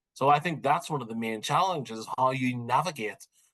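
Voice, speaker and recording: A man is speaking. He has a Northern Irish accent. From Northern Ireland. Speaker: criminology professor. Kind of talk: interview.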